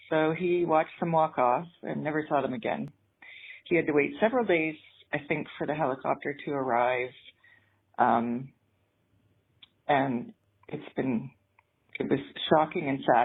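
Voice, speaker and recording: With a slight Canadian accent, a woman speaks at a moderate pace in a very deep, low pitch, pausing long and often. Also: ordinary pitch variation. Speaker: caller leaving a voicemail. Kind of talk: voicemail message. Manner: hesitant, many ums.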